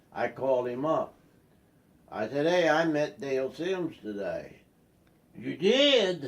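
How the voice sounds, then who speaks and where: Over noticeable background noise, a man talks at a very slow pace with long, frequent pauses. His fairly high pitch carries lively intonation. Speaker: grandfather telling family stories. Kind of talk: casual storytelling. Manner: halting.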